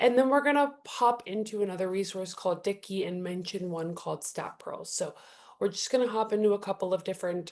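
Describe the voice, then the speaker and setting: Fairly quick delivery from a woman, her pitch medium and its variation ordinary. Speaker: customer support trainer hosting a webinar. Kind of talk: webinar presentation. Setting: online webinar. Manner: fast.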